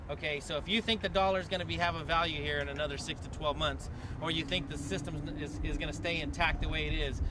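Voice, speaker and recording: Over noticeable background noise, a man speaks very fast amid audible room echo. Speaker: activist organizer. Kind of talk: public meeting speech. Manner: loud; animated.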